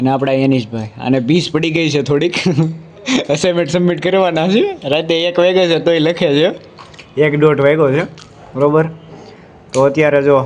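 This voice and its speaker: A man's fairly high voice with ordinary pitch variation and very even loudness, amid noticeable background noise. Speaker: college student vlogger. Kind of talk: casual vlog narration. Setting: walking around college campus.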